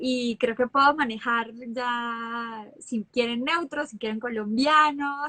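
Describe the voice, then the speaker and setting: A woman speaks at a high pitch and a fairly slow pace, with ordinary pitch variation. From Colombia, Bucaramanga (Santander). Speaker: actress. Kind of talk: interview.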